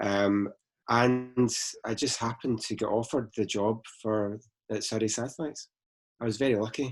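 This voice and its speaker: Speaking with a Glaswegian accent, a man keeps his intonation fairly even and leaves long, frequent pauses. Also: medium pitch for a man, moderate pace. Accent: Glaswegian Scottish. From Scotland, Glasgow. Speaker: space company founder. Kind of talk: interview.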